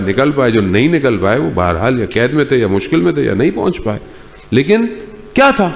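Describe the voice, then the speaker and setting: A man speaks in a passionate tone. His pitch swings very widely. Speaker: Islamic scholar giving a sermon. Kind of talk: religious sermon, Urdu bayan. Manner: passionate, emphatic, code-switching between Urdu and English.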